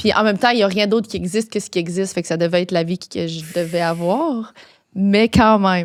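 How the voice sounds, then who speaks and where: An unremarkable speaking voice from a woman, medium in pitch with ordinary pitch variation, at a fairly quick pace, on a very clean recording with a silent background. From Quebec, Gaspésie. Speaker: podcast host. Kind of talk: casual chat.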